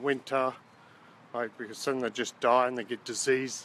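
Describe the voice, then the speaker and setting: A man with an Australian accent speaks in a bright, sharp tone. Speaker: gardening vlogger. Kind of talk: tutorial. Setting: outdoors. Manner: loud.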